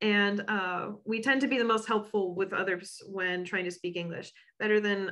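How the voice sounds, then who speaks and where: Her pitch medium and her tone bright and sharp, a woman talks at a fairly quick pace with fairly even intonation. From United States. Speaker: education advisor. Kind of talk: webinar presentation. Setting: online webinar.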